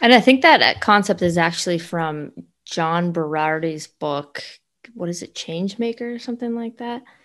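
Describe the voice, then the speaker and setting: Against a quiet background, a woman with an unremarkable speaking voice talks at a moderate pace in a fairly low pitch. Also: lively intonation, big swings in loudness. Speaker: podcast co-host, fitness trainer. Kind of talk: casual podcast chat, season wrap-up.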